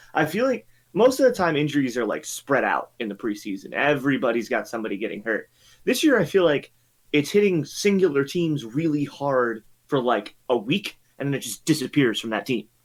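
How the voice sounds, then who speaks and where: The voice is loud, with very wide pitch swings at a fairly quick pace. The recording is very clean, with a silent background. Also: man, fairly high pitch for a man. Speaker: podcast co-host. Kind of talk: casual chat.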